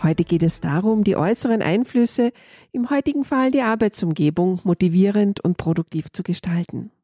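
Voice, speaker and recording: With music in the background, a woman talks at a moderate pace with lively intonation. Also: medium pitch for a woman, dry, close sound with no echo. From Austria. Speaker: podcast host, leadership coach. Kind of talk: interview.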